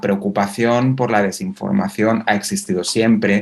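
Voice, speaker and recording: A man speaks with a Spanish accent at a fairly low pitch. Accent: Spanish (Spain). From Spain. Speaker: university researcher. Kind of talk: conference talk. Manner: halting, many fillers.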